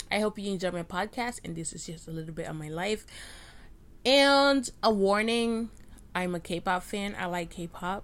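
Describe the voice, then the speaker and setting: A normal speaking voice moves at a moderate pace with ordinary pitch variation and big swings in loudness. The recording is very clean, with a silent background. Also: woman, medium pitch for a woman. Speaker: podcaster and college student. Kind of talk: casual solo rant. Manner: rambling, self-deprecating.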